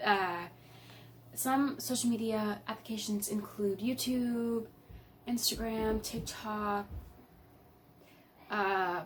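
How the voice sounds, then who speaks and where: A woman's fairly high voice at a very slow pace, with long, frequent pauses and fairly even intonation. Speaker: YouTuber. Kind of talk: vlog talk to camera. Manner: halting, many fillers.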